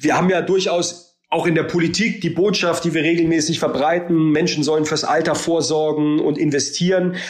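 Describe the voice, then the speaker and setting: Over noticeable background noise and audible room echo, a man talks at a moderate pace with hardly any pauses, very even loudness and ordinary pitch variation. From Germany, Baden-Württemberg. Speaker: politician, member of parliament. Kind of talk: interview. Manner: halting, many filler sounds.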